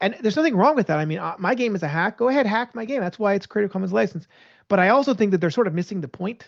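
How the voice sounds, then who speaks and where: Someone talks at a very fast pace over a quiet background. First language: Hebrew. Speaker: game designer. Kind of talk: interview. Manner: halting, frequent repeated words and restarts.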